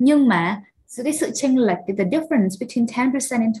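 A woman's voice, fairly high in pitch. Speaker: English teacher. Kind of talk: lecture. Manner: animated.

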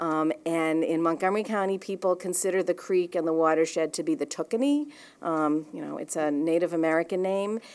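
In a New England accent, a woman with a fairly low voice talks at a fairly quick pace. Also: ordinary pitch variation. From Boston. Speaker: watershed nonprofit director. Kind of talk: conference presentation. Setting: live event with audience. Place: meeting room. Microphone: podium.

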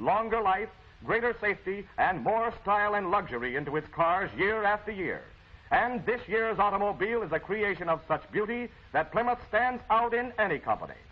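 Pitched high, a man talks at a fairly quick pace with ordinary pitch variation. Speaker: commercial film narrator. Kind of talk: promotional commentary. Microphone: old recording.

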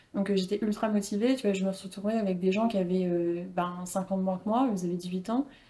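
Speaking at a moderate pace with hardly any pauses, a woman keeps her intonation fairly even. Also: medium pitch for a woman. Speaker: personal branding coach and former model; personal branding coach. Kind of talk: casual interview. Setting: studio with camera. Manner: calm, composed. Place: home room. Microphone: lapel.

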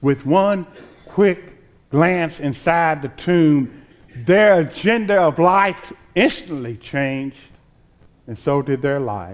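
Speaking at a very slow pace, a man with a fairly high voice uses lively intonation and long, frequent pauses. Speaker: preacher, reverend. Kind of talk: Easter sermon delivered to a congregation. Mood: joyful, hopeful Easter tone. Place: church.

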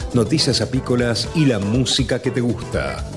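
Moderate-paced speech with clear music in the background. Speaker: radio announcer. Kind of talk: radio program opening announcement. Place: studio.

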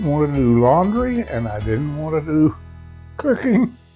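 A man speaks fairly slowly while faint music sits in the background. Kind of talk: interview answer. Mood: calm, reflective. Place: home room. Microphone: lapel.

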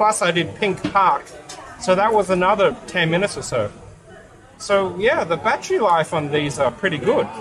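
Over clear music in the background, a man talks with a high pitch. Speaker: vlogger testing a camera. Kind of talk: casual vlog chat. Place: cafe. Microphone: phone near.

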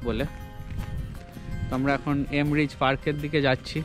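A man's voice, dry with no echo, over clear music in the background. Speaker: travel vlogger. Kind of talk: casual vlog chat. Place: street. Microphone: phone near.

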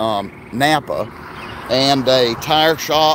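With ordinary pitch variation, a man's voice comes through a dry sound with no echo amid noticeable background noise. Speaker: small business vlogger. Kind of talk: casual vlog chat. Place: street. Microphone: phone near.

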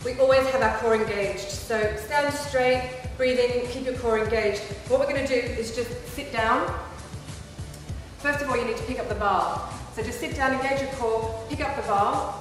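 A woman's high-pitched voice at a moderate pace, with clear music in the background and strong room echo. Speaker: presenter. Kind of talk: tutorial. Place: gym.

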